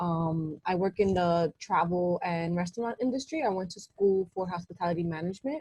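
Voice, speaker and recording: Talking at a moderate pace with hardly any pauses, a woman with a New York accent uses a fairly low pitch, ordinary pitch variation, and a dark, mellow, somewhat breathy tone, the sound dry and close with no echo. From New York City. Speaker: hospitality worker. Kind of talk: casual chat.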